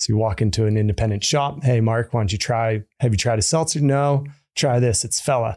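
On a very clean recording with a silent background, the voice comes with an American accent at a fairly quick pace, with very even loudness and ordinary pitch variation. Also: man, medium pitch for a man. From California. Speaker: drinks company co-founder. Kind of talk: interview. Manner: casual, laughs often.

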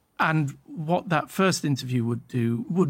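A man with a British accent talks at a fairly high pitch. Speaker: documentary producer. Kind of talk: casual chat. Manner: halting.

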